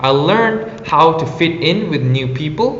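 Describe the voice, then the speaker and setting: A man's lively-intoned voice with an Indonesian accent, set against noticeable background noise and audible room echo. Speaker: former exchange intern. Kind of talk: prepared personal reflection. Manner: formal.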